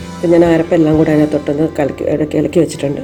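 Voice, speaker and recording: With music in the background, a woman speaks in a very deep, low voice. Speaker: home cook. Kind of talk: cooking tutorial narration.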